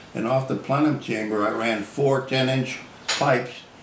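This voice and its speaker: An American-accented man with fairly even intonation over noticeable background noise. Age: 80s+. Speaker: inventor. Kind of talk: interview answer. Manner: casual, folksy.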